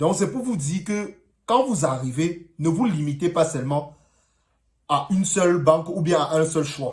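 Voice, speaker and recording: A man with a Cameroonian accent, high in pitch, at a fairly slow pace. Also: ordinary pitch variation. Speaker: vlogger. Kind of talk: personal vlog. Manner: casual, hesitant.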